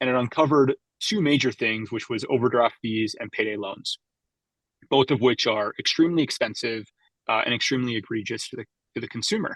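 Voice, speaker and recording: A plain, everyday voice from a man with a Canadian accent, at a moderate pace with ordinary pitch variation and a dry, close sound with no echo. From western Canada, Vancouver Island. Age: 30s. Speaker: startup co-founder and executive. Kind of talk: podcast interview.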